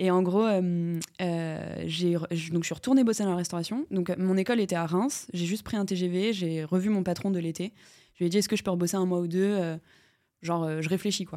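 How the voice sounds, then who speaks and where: On a very clean recording with a silent background, the talking holds a moderate speed and fairly even intonation. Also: woman, fairly low pitch for a woman. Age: 20s. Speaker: entrepreneur. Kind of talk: interview. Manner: casual, hesitant.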